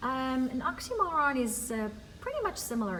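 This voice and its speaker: With lively intonation and a high pitch, a woman speaks at a moderate pace amid audible room echo and noticeable background noise. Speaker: ESL teacher. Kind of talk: recorded class lesson. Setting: empty classroom.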